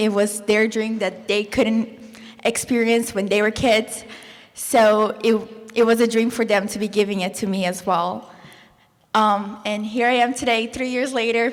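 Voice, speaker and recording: Noticeable background noise accompanies a woman whose fairly high voice keeps a monotone, flat intonation. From Brazil. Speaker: former exchange student, college student. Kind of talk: panel discussion.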